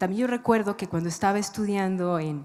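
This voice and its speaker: Soft-spoken, with ordinary pitch variation. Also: woman. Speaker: writer. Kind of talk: panel discussion. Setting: stage with audience.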